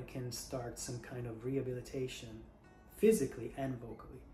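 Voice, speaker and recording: Moderate-paced speech with audible room echo and music in the background. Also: man. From Italy. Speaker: singer, voice teacher. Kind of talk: casual talk to camera. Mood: earnest, reflective.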